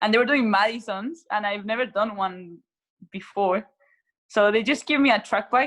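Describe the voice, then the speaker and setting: In a Spanish accent, a woman speaks at a moderate pace. Her pitch is fairly high with ordinary pitch variation. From Chile, Santiago. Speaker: racing cyclist. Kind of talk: interview.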